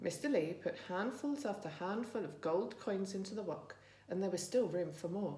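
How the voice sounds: The voice reads naturally, and its pitch shifts in an ordinary way.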